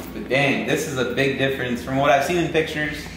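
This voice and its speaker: Amid light background noise and audible room echo, a man speaks at a moderate pace with ordinary pitch variation. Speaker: car vlogger. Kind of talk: casual vlog chat. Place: garage. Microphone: camera far.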